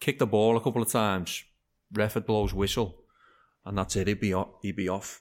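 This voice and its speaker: The speech comes at a very fast pace with monotone, flat intonation. The recording is very clean, with a silent background. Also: man. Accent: Liverpool. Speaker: amateur football manager. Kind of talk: casual interview chat.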